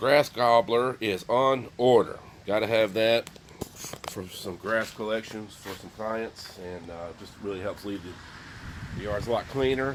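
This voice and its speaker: A man at a fairly slow pace and medium pitch, with big swings in loudness and noticeable background noise. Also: ordinary pitch variation. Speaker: landscaper and lawn care business owner. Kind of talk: casual vlog. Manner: hesitant with many fillers.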